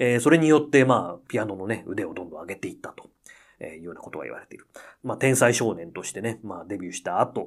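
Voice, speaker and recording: With lively intonation, a normal speaking voice comes through on a very clean recording with a silent background. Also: man. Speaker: pianist and podcast host. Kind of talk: casual radio-style monologue.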